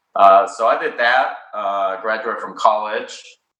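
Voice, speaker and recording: Speaking at a fairly slow pace, a man's voice carries audible room echo. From Mexico City, Mexico. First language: Spanish. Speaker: cannabis company founder. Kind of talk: interview. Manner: hesitant, many fillers.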